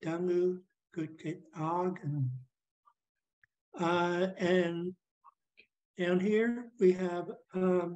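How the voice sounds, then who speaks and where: A woman talks at a very slow pace, with long, frequent pauses. Her fairly low voice is dark and mellow, with fairly even intonation. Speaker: language teacher. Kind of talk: language class.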